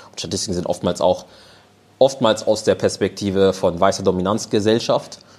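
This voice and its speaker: This man has an unremarkable speaking voice, pitched fairly low, with fairly even intonation at a moderate pace. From Germany. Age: 20s. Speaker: panel guest. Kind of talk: live panel discussion. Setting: stage with audience.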